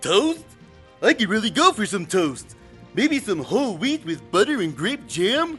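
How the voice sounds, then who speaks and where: Over clear music in the background, a man uses a put-on character voice with a high pitch and very wide pitch swings at a moderate pace. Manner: slow, dopey.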